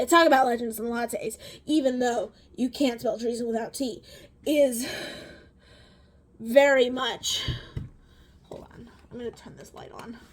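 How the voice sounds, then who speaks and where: The speech moves at a fairly slow pace with long, frequent pauses. Intonation stays fairly even while loudness swings widely. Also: woman, high pitch for a woman. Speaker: beauty and book vlogger. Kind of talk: casual chat while doing makeup. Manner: halting, stuttering.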